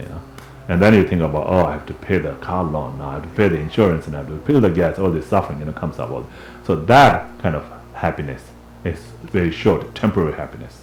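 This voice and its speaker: Over noticeable background noise, a man with a resonant, very deep, low pitch talks very fast, with ordinary pitch variation and big swings in loudness. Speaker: Buddhist teacher and translator. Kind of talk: dharma class teaching. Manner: conversational.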